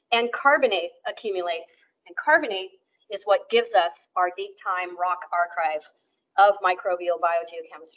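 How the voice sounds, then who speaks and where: Speaking with an American accent, a woman uses a medium pitch, ordinary pitch variation and a moderate pace. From Western US. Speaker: professor. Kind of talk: lecture. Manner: halting, many fillers.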